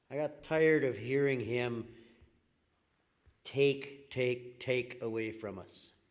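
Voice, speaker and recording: At a very slow pace, a man with a Canadian Prairie accent speaks at a medium pitch with ordinary pitch variation. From Saskatchewan, Canada. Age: 60s. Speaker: political candidate. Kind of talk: candidate closing statement at public forum.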